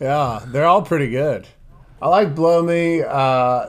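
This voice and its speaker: Here a man talks at a very slow pace. His pitch variation is ordinary. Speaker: podcast co-host. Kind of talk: casual banter, comedic game show.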